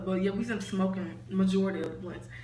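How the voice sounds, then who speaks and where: Noticeable noise sits in the background. The speech moves at a fairly quick clip. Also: woman. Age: young. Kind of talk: casual storytime talk to camera. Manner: casual, rambling.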